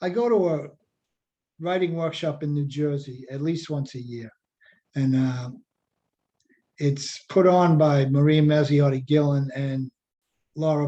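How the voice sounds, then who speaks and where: A man's fairly high-pitched, dark, mellow voice in a Boston accent, fairly slow and fairly even in intonation, with long, frequent pauses. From Revere, Massachusetts (Boston area). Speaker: poet and writing workshop teacher. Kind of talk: workshop lecture. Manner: casual, many fillers.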